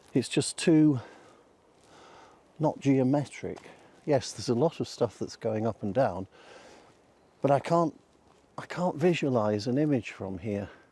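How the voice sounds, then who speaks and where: Soft-spoken and with a British accent, a man with a medium pitch and a dark, mellow tone talks fairly slowly with lively intonation and long, frequent pauses. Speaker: photography vlogger. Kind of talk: casual vlog narration. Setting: outdoors in woods. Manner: hesitant, filler words.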